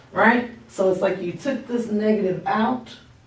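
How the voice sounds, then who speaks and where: Noticeable background noise and audible room echo fill the clip. A woman speaks at a medium pitch with fairly even intonation. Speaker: math teacher. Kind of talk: tutorial. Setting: recorded at workplace, not home office. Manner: casual, conversational.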